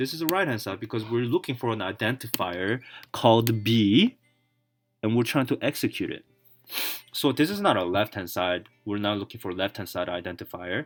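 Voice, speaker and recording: With music in the background, a man with a non-native accent talks at a fairly quick pace, medium in pitch, with lively intonation. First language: not English. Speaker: self-taught programmer video blogger. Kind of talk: tutorial. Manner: halting.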